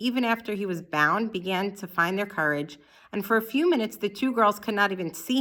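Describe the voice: Simple reading aloud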